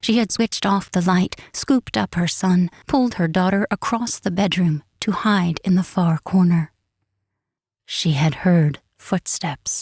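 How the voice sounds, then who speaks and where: The woman's voice is somewhat breathy, with ordinary pitch variation and very even loudness. Her recording is very clean, with a silent background and a dry, close sound with no echo. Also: medium pitch for a woman, fairly slow pace. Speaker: audiobook narrator. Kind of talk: suspense reading.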